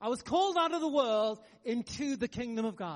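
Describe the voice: A man speaks at an extremely high pitch. His intonation is lively. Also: fairly quick pace.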